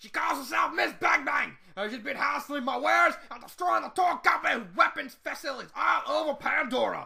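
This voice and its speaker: In a put-on character voice, the speaker talks at a high pitch and a fairly quick pace. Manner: boastful, commanding.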